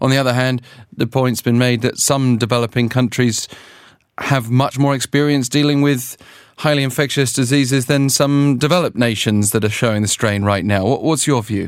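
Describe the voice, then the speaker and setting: In a very clean recording with a silent background, a man with a British accent speaks at medium pitch and a moderate pace, with fairly even intonation and very even loudness. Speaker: news interviewer. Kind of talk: news interview.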